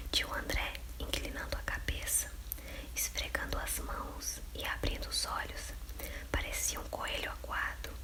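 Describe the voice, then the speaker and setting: A soft-spoken woman whispers at a fairly slow pace. Noticeable background noise is present. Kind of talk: whispered audiobook reading by candlelight. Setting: home, dim candlelight. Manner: whispered, soft.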